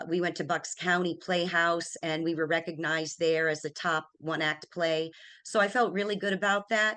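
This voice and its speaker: Against a quiet background, a woman with an American accent and a bright, sharp tone speaks at a moderate pace in a fairly low pitch, her intonation fairly even. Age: 60s. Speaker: retired banker. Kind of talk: interview. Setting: studio.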